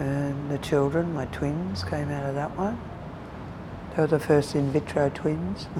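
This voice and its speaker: With noticeable background noise, a woman speaks at a fairly slow pace in a very deep, low pitch. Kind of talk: interview, life story. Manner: halting.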